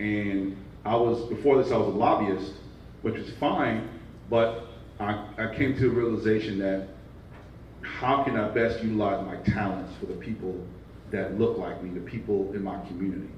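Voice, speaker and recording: A man with a Brooklyn accent speaks at a moderate pace and fairly low pitch, with fairly even intonation. Long, frequent pauses break his speech, and audible room echo is present. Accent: Brooklyn New York. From Brooklyn, New York. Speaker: nonprofit division leader. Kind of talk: panel discussion.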